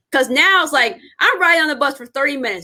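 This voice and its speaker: A very fast, raised and projected voice in an American accent. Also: woman. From Indianapolis, US Midwest. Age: 30s. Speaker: podcast host, educator. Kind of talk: interview podcast. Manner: casual, conversational.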